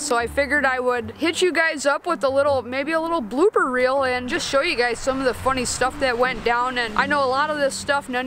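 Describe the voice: A woman speaks at a high pitch and a moderate pace, with ordinary pitch variation. Background noise is clearly audible.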